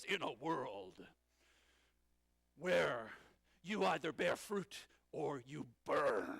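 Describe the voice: A man uses a put-on character voice that is raspy and resonant. He goes at a very slow pace, with long, frequent pauses.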